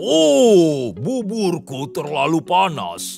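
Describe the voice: A man speaks very slowly in a put-on character voice, his pitch fairly high, with clear music playing behind him.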